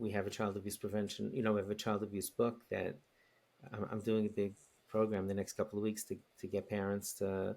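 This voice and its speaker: This man, with a New York accent, has a fairly low pitch. His intonation stays fairly even. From New York City, Queens. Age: 60s. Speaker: rabbi and educator. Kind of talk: podcast interview. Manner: halting, many repetitions.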